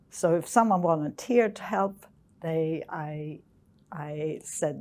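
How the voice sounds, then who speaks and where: A woman's fairly low voice at a very slow pace, with a Swedish accent. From Sweden. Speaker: geophysicist. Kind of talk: interview. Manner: hesitant.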